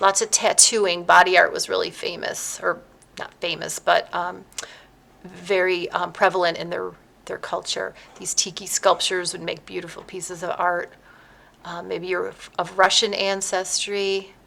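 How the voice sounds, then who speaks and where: Her loudness swinging widely, a woman talks at a moderate pace. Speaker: art teacher. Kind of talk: tutorial. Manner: many filler ums.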